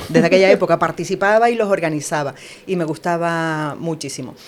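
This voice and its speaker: Over noticeable background noise, a woman with a fairly low pitch talks at a fairly quick pace with ordinary pitch variation. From Canary Islands, La Palma. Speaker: news writer and broadcast announcer. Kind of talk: interview answer.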